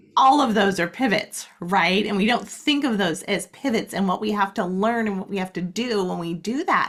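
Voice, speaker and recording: With hardly any pauses, a woman speaks in an American accent over noticeable background noise. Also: medium pitch for a woman, ordinary pitch variation, moderate pace. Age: 60s. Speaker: life coach. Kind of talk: interview.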